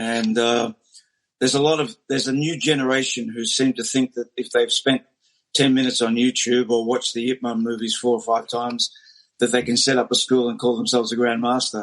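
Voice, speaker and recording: A man with a medium-pitched voice talks fairly quickly in a flat monotone. The sound is dry and close, with no echo. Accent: Australian. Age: 60s. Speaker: martial arts teacher. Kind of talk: interview.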